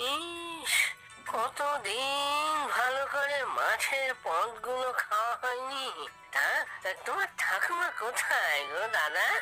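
A cartoonish character voice goes at a very slow pace over clear music in the background. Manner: whiny, wheedling.

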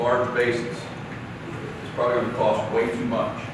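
Strong room echo surrounds a man's voice. There is noticeable background noise too. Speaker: trainer presenting to plumbers. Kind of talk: lecture. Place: classroom.

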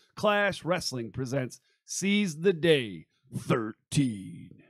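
A man talks with very wide pitch swings, fairly high for a man. The sound is dry with no echo, against a quiet background. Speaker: podcast host. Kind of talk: casual chat. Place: studio. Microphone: studio mic.

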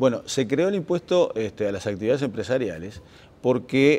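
A man is speaking. His pitch is medium. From Uruguay. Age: 50s. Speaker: government official, accountant. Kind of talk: interview. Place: studio.

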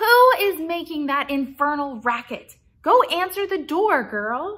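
A woman's shrill, shouted, put-on character voice at an extremely high pitch and a fairly slow pace. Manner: shouting, irritated.

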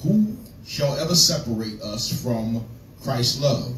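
Over light background noise, a man speaks at a fairly slow pace with ordinary pitch variation and audible room echo. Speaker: preacher. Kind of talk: scripture reading in a sermon. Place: church.

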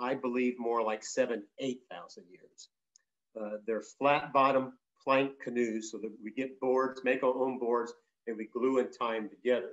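An American accent marks this man's moderate pace. His intonation is monotone and flat over a quiet background. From Southern California. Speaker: traditional storyteller and Chumash elder; traditional storyteller. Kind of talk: talk to an audience. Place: home room. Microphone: video call.

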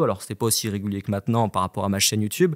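A man speaks over a quiet background. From France, Annecy (Haute-Savoie); France. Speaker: independent trader, former broker; podcast guest. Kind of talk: casual chat. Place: studio. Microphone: studio mic.

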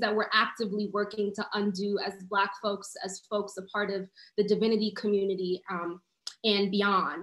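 The speech moves at a moderate pace. Audible room echo is present. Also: woman, quiet background. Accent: New York. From New York City (Harlem). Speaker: community organizer. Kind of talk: panel discussion. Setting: video call. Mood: earnest, reflective. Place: home room. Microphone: video call.

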